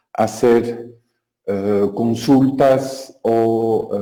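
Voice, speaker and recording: In a French accent, a man speaks with a dark, mellow tone. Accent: French-speaking accent in Spanish. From Belgium. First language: French (speaking Spanish). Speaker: software developer, conference speaker. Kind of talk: technical talk. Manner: hesitant, many filler sounds.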